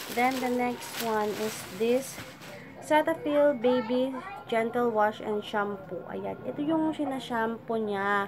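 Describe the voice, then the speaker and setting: A woman speaks fairly slowly at a fairly high pitch. Noticeable background noise is present. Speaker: vlogger. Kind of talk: casual vlog haul. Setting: at home. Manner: halting, stop-start.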